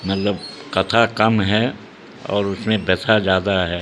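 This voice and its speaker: Noticeable background noise runs under this clip. A man speaks with a fairly low pitch. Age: 80s+. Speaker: event organiser and educational institution head. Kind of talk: news interview. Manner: halting.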